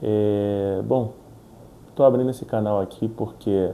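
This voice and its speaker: A man speaks at a fairly slow pace and fairly low pitch. His tone is dark and mellow. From Rio de Janeiro, Brazil. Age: 30s. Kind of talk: casual talk to camera.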